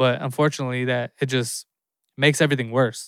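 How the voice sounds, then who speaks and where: A man talks in a monotone, flat way at a moderate pace. The sound is dry and close, with no echo. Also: very clean recording, silent background. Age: 30s. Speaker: podcast host. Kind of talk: solo casual talk.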